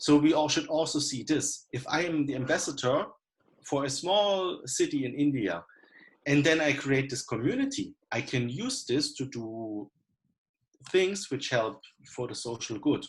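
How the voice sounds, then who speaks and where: A man with a German accent speaks at a fairly slow pace, his voice somewhat breathy and his intonation lively. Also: fairly high pitch for a man. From Germany. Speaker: coliving founder. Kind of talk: panel discussion. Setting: video call.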